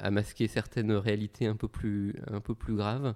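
The man's voice is fairly low in pitch, with a dark, mellow tone. He speaks at a fairly slow pace. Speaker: hip-hop artist and consultant. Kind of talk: interview.

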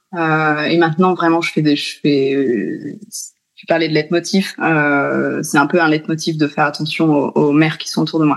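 At a fairly slow pace, a woman speaks in a very deep, low pitch with fairly even intonation. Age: 30s. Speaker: mother and speech therapy student. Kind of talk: interview. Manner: halting.

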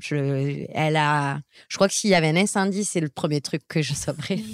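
The woman's voice sits at a very deep, low pitch with fairly even intonation. Her recording sounds dry and close, with no echo. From southwest France. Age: 30s. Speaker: entrepreneur. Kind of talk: interview. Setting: at a home near Marseille.

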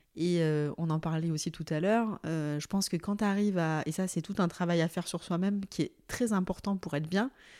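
In a very clean recording with a silent background, a woman with a dark, mellow tone and fairly low pitch talks at a fairly quick pace, with fairly even intonation and hardly any pauses. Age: 30s. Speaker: HR director. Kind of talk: casual chat. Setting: at guest's home.

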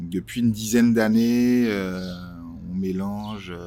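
With a dark, mellow tone, a man speaks at a fairly low pitch with fairly even intonation. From Martinique. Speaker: entrepreneur and designer. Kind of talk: interview. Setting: outdoors by a canal near the kiosk.

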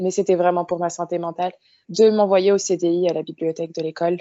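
At a moderate pace, a woman with a plain, everyday voice speaks with fairly even intonation. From France, Paris suburbs (Moroccan heritage). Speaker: literary content creator. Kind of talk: casual interview.

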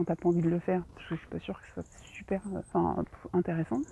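A woman at a fairly quick pace with ordinary pitch variation, against noticeable background noise. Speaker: novelist and podcaster. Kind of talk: casual solo monologue. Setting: outdoors, walking. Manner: hesitant, many fillers.

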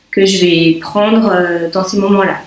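A woman speaks at a fairly slow pace in a monotone, flat intonation, with audible room echo and noticeable background noise. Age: 30s. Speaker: mother with type 1 diabetes sharing her pregnancy story. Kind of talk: interview testimony. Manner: halting, many fillers.

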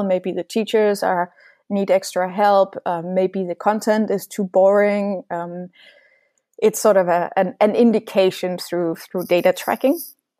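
A woman's dark, mellow voice at medium pitch, monotone and flat, at a moderate pace, in a dry, close sound with no echo. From Denmark and rural Norway. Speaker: founder of a coding school for refugees. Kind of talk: interview. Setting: remote call.

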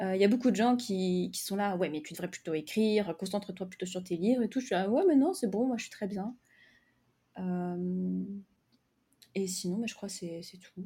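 A somewhat breathy woman's voice, dark and mellow in tone, medium in pitch, at a moderate pace with long, frequent pauses. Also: ordinary pitch variation, big swings in loudness. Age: 20s. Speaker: novelist and content creator for writers. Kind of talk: casual interview.

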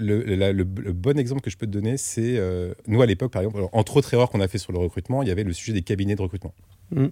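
A very clean recording with a silent background and a dry, close sound with no echo captures a man talking at a very fast pace, his fairly low pitch carrying a dark, mellow tone and ordinary pitch variation. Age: 40s. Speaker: startup founder and CEO. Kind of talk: casual interview.

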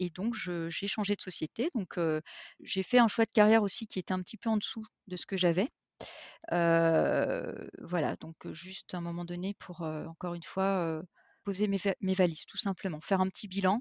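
The delivery moves at a moderate pace, with intonation that stays fairly even. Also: woman, medium pitch for a woman. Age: 40s. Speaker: HR professional. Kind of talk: interview testimony. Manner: halting, many repetitions and fillers.

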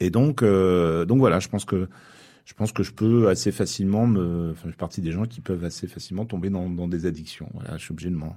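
A man's very deep, low voice, dark and mellow, at a fairly quick pace, with ordinary pitch variation, big swings in loudness and a very clean recording over a silent background. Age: 50s. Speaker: musician. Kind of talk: casual chat. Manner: halting.

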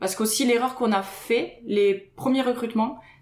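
A woman is speaking at a moderate pace. Her intonation is fairly even. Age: 30s. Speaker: web agency co-founder. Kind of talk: casual chat. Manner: halting, repeats words.

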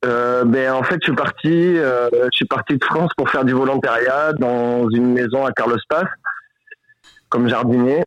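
A man speaks in an ordinary speaking voice of medium pitch. His pace is fairly slow and his loudness very even. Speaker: volunteer fighting wildfires. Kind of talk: casual phone chat. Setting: phone call. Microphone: poor line, hard to hear.

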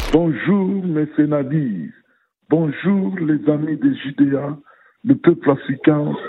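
A man speaks very slowly in a fairly high pitch. His pitch varies in an ordinary way. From Democratic Republic of the Congo. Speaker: radio listener leaving message. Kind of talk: voicemail opinion message.

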